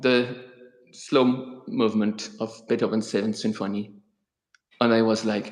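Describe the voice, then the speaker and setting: With a non-native accent, a man speaks fairly slowly at a medium pitch in a flat monotone, pausing long and often. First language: not English. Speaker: author and guitarist hosting a live stream. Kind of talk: live-stream interview. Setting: live YouTube broadcast. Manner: halting.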